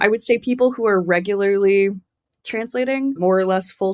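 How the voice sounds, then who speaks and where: A woman with an American accent has an unremarkable speaking voice and a fairly quick pace. Her intonation is fairly even, and the recording is very clean with a silent background. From US Southwest, Tucson, Arizona. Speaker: literary translator. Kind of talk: interview conversation. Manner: casual, filler-heavy with repetitions.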